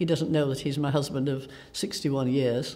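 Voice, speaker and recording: A woman with a South Yorkshire accent speaks at a very deep, low pitch. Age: 80s+. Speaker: carer for her husband. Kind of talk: testimony.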